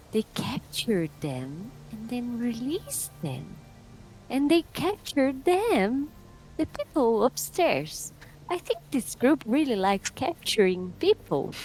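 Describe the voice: In a put-on character voice, a female-sounding speaker talks quietly and breathily at a high pitch and fairly slow pace, with music in the background.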